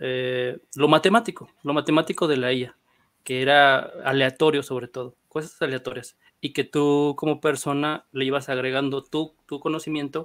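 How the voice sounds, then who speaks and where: At a moderate pace, a man with a fairly high pitch and fairly even intonation talks in an ordinary speaking voice. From northern Mexico (Monclova, Coahuila). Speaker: panel guest. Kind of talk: casual panel discussion.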